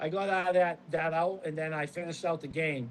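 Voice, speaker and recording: A man with a Boston accent, fairly high in pitch, at a fairly quick pace. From Boston, US Northeast. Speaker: former pro baseball pitcher, now real estate agent. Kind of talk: casual chat.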